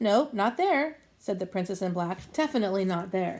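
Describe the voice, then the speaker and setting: In a put-on character voice, a woman talks at a moderate pace and medium pitch, her intonation lively. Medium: read story.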